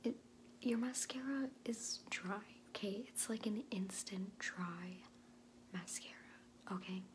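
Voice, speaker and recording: Over noticeable background noise, a woman speaks at a fairly slow pace with vocal fry and ordinary pitch variation. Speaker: beauty vlogger. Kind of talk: tutorial. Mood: chatty, playful. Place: home room. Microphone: phone near.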